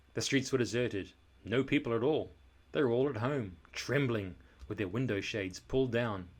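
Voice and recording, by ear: Reading aloud in a natural voice, its pitch varying in an ordinary way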